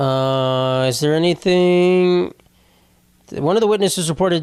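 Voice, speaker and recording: Using an ordinary speaking voice, a man talks fairly high in pitch, with ordinary pitch variation. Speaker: comedian. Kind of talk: casual podcast talk.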